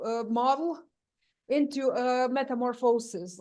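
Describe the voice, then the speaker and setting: A woman with a Croatian accent speaks in a high voice. Her intonation stays fairly even. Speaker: audience member. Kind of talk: audience question.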